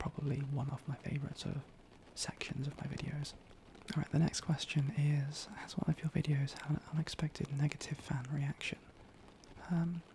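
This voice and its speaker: A man whispers at a fairly quick pace and is soft-spoken. Noticeable background noise can be heard. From Britain. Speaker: ASMR creator. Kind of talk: casual talk to camera. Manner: soft-spoken, occasionally whispering.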